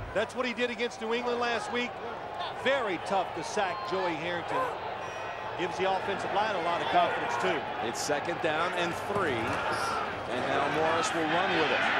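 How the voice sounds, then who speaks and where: Speech comes at a moderate pace with a dry sound and no echo. Loud background noise is present. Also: man. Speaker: TV game analyst. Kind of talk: commentary.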